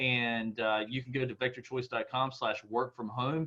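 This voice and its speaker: Talking at a fairly quick pace, a man with an American accent keeps a medium pitch. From Eastern North Carolina. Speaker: IT company founder and CEO. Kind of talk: webinar presentation. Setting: online webinar call. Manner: halting, many fillers.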